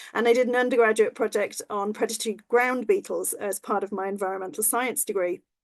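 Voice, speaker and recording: A woman with an English accent at a very fast pace, her intonation fairly even. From rural England. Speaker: professor of ecology. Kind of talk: lecture. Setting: online talk. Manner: halting.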